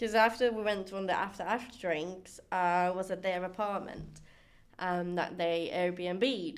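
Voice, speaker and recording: A woman speaks at a fairly slow pace in an unremarkable speaking voice. Her pitch is medium and her intonation stays fairly even. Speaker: student, host's best friend. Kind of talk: casual chat. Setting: studio.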